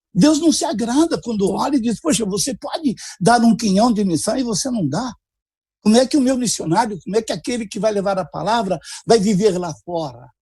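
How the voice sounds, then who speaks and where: A man with a high pitch and a dark, mellow tone talks at a fairly quick pace with lively intonation. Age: 70s. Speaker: pastor, missionary. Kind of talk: preaching-style interview on a livestream.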